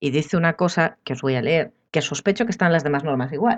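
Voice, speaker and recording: Over a quiet background, a woman talks very fast with very wide pitch swings. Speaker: architect. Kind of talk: casual chat.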